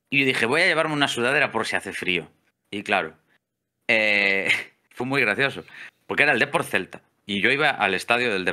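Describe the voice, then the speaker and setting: In a Galician accent, the voice moves at a fairly quick pace with lively intonation and a bright, sharp tone. Long pauses come often, against a quiet background. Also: man, medium pitch for a man. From Galicia, Spain. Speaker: electrician and amateur photographer; interview guest. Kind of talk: casual interview chat; interview answer. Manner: hesitant, many fillers and repeats. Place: home room. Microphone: studio mic.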